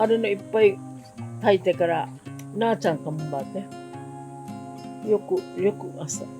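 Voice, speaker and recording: A woman talks at a medium pitch and a fairly slow pace. Music plays in the background. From Okinawa, Japan. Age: 80s+. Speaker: war survivor. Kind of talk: interview answer.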